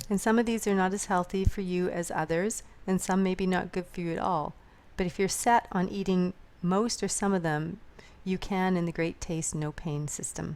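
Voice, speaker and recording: A woman's medium-pitched voice, fairly even in intonation, at a moderate pace. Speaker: product reviewer. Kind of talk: product review. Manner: hesitant, with fillers.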